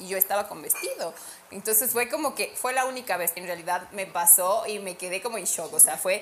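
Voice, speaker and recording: Over noticeable background noise, a woman speaks at a fairly quick pace and a medium pitch. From Ecuador, Ambato. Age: 30s. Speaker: model and sales executive. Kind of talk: casual chat.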